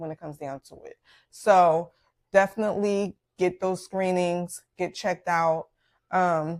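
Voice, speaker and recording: A woman with a Philadelphia accent talks in a fairly low pitch with fairly even intonation. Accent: Philadelphia American English. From Philadelphia, US. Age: 40s. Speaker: podcast host, doctor. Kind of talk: personal health story, casual monologue. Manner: hesitant with many fillers.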